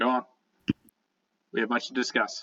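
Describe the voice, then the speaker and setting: Doing a put-on character voice, a man growls and rumbles in a raspy tone at a moderate pace. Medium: actual play. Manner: curt, gruff.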